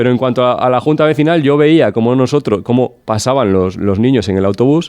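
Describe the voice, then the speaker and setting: A man's dark, mellow tone with lively intonation. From Cantabria, rural village. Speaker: regional politician. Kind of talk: political talk show debate.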